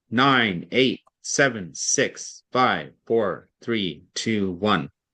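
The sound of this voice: In a put-on character voice, a man of medium pitch speaks very slowly against a quiet background.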